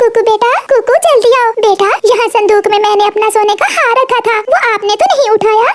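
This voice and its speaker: A woman's cartoonish character voice, extremely high in pitch, at a moderate pace with fairly even intonation. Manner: polite, pleading.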